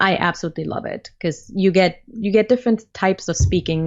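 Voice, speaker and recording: A woman talks at a fairly quick pace. She has a non-native accent. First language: not English. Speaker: community manager and learning developer. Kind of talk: interview.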